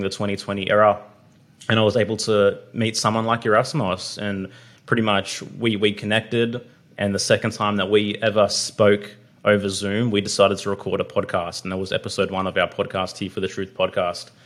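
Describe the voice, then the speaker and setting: A man with an Australian accent speaks at a fairly quick pace and fairly low pitch in a monotone, flat intonation, recorded very cleanly against a silent background. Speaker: podcast host. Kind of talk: casual chat.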